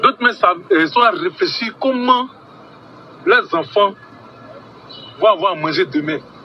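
A man's voice swings very widely in pitch against noticeable background noise. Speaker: ordinary citizen. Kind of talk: rant. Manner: animated.

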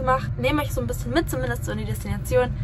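A woman talks over noticeable background noise. The sound is dry with no echo. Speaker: vlogger. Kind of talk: casual vlog chat. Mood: cheerful, relaxed. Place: boat. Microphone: phone near.

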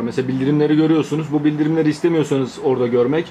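A man talks at a very fast pace in a monotone, flat intonation. Light background noise sits underneath. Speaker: tech youtuber. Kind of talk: tutorial. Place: home room.

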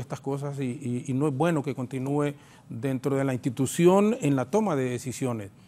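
A man speaks with a Honduran accent, his tone dark and mellow and his intonation lively. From Honduras. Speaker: congressman; politician panel guest. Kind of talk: political talk show panel. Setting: TV studio. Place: studio. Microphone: lapel.

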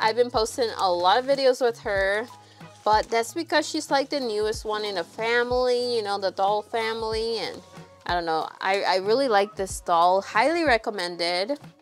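A woman at a moderate pace, faint music in the background. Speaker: doll vlogger. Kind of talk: casual vlog chat. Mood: cheerful, excited. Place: home room.

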